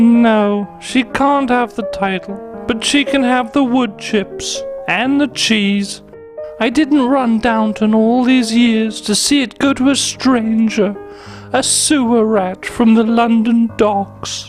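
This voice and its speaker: A female-sounding voice performs a put-on character voice at a fairly high pitch and a fairly slow pace. Clear music plays in the background. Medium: comedy sketch. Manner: haughty, upper-class.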